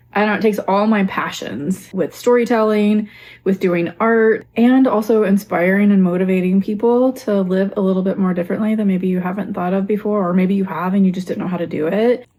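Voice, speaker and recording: The voice is relaxed, with a dark, mellow tone, fairly even intonation, and a slight Southern US accent. It moves at a fairly quick pace with hardly any pauses. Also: woman, medium pitch for a woman. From Texas. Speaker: lifestyle vlogger. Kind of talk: casual vlog talk.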